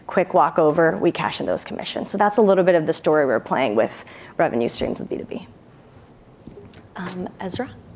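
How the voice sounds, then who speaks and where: A woman with a fairly low pitch talks at a fairly quick pace, using very wide pitch swings and long, frequent pauses. Noticeable background noise runs underneath. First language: Hindi. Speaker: startup founder pitching to judges. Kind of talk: Q&A after startup pitch.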